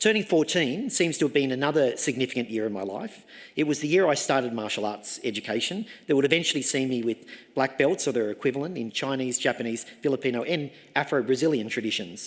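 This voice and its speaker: With an Australian accent, a man talks very fast at a medium pitch. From Australia, Sydney. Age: 60s. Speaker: professor. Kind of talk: graduation address. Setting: ceremony hall with audience. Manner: formal.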